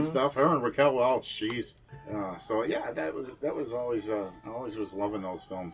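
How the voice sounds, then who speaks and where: A man's relaxed, fairly low voice with an American accent, at a moderate pace with ordinary pitch variation, over music in the background. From Kenosha, Wisconsin. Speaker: horror host, musician, actor, radio host. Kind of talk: casual interview answer. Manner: relaxed, conversational, reminiscing.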